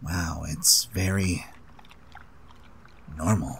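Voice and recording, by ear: Over clear background noise, a man does a raspy, cartoonish character voice at a very deep, low pitch.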